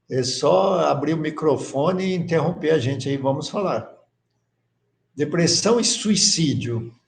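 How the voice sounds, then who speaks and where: A man's fairly high voice, with lively intonation and a fairly slow pace, plus audible echo from the room. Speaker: course teacher. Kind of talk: lecture.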